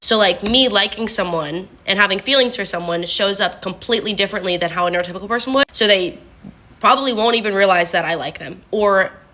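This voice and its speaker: A woman talks at a medium pitch while noticeable background noise runs underneath. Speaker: content creator. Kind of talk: casual talk to camera. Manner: fast; monotone when not on video.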